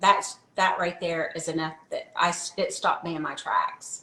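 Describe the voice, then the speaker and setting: Over noticeable background noise, a woman with a medium pitch talks at a moderate pace. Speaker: wellness product promoter. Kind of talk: casual interview chat.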